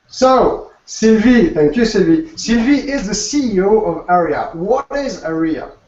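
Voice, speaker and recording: With a French accent, a man talks at a fairly slow pace in a high pitch, using lively intonation and hardly any pauses, with audible room echo around him. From Alsace, France. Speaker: food blogger and co-host. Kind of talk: presentation.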